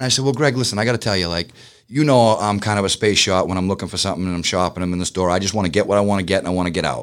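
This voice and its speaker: A very fast man's voice, fairly low in pitch, with a Boston accent and ordinary pitch variation, in a very clean recording with a silent background. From Boston, Massachusetts. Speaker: business owner. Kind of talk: interview. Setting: studio.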